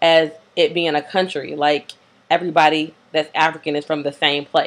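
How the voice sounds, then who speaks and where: In an American accent, a woman speaks with a very deep, low pitch and a monotone, flat intonation. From US South, Greensboro, North Carolina. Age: 20s. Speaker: video blogger. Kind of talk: casual monologue. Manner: hesitant, many fillers.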